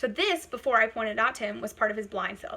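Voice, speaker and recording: Here a woman talks at a very fast pace. Her pitch is fairly high. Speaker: college instructor. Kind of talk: lecture. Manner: loud; animated.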